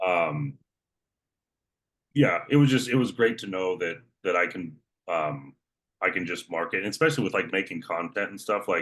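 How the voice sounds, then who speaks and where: A man with a very deep, low pitch and lively intonation, speaking at a moderate pace with long, frequent pauses. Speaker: online fitness coach, former prison guard. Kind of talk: casual interview chat. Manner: matter-of-fact.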